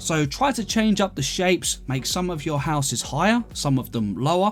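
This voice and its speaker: A man speaks in a relaxed tone at a high pitch and moderate pace, with very wide pitch swings. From London, England. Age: 30s. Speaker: gaming YouTuber. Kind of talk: casual gameplay commentary and Q&A. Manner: relaxed, chatty.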